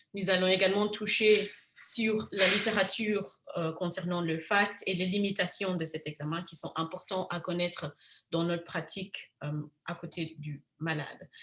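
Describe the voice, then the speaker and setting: A woman's plain, everyday voice, medium in pitch with ordinary pitch variation, at a fairly slow pace. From Africa. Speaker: physician. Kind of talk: lecture.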